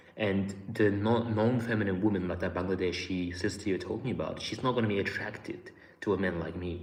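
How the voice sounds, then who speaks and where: Audible room echo surrounds a man with a fairly low pitch. He talks at a fairly quick pace with fairly even intonation. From Australia. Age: 20s. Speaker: YouTuber. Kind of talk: live stream chat. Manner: casual.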